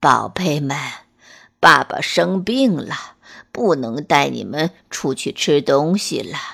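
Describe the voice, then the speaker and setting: Fairly slow delivery in a put-on character voice. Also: woman, very deep, low pitch for a woman. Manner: feeble, sick.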